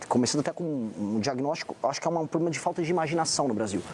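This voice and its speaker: Over noticeable background noise, a man with a fairly high pitch and lively intonation talks at a very fast pace. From Brazil, São Paulo. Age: 40s. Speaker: presidential pre-candidate. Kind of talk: TV political interview.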